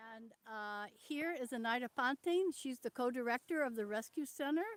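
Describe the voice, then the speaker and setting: Shouting loudly at a moderate pace, a woman with a high voice and ordinary pitch variation comes through dry and close with no echo. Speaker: veterinarian and conservationist leading a tour. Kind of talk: live-stream tour. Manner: loud, almost yelling. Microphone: poor sound, some viewers cannot hear.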